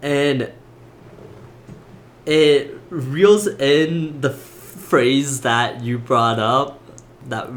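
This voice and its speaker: The man speaks at a medium pitch. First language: not English. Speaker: podcast co-host. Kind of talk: casual chat.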